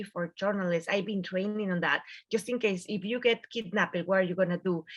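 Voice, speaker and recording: This woman has a strong Mexican accent. Her pitch varies in an ordinary way. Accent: thick Mexican Spanish. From Mexico. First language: Spanish. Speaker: journalist. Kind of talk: panel discussion. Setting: video call.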